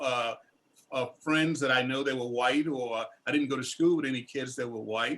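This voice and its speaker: A man with a Southern US accent speaks in a medium-pitched voice. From US South, northern Louisiana. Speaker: war veteran. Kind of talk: panel discussion. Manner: halting.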